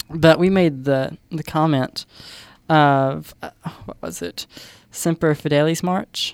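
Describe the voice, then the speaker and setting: In a Southern US accent, a woman speaks with ordinary pitch variation in a very clean recording with a silent background. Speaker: radio host. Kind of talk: live college radio show, casual chat. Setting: studio. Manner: jokey, chatty.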